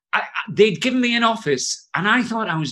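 Moving at a fairly quick pace, a man speaks in a bright, sharp tone with very wide pitch swings. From northeast England (Jarrow, Tyneside). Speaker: education author and trainer. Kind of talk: casual interview chat.

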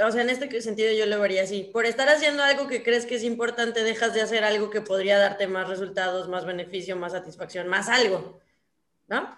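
At a moderate pace, a woman talks in an ordinary speaking voice. Her pitch is fairly high. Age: 20s. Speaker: podcast co-host. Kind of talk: casual chat.

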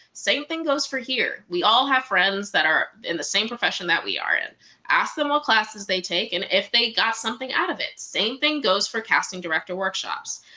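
In an American accent, a woman with a fairly high pitch and lively intonation talks in an ordinary speaking voice. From Washington, DC. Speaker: casting director. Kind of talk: interview.

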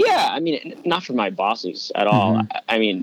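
A man with an American accent speaks in a dry, close sound with no echo. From New York. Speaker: sports reporter. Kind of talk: casual interview.

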